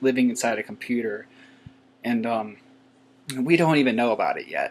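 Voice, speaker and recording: A soft-spoken man talks at a moderate pace. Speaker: YouTuber. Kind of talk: casual vlog monologue. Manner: halting, many fillers.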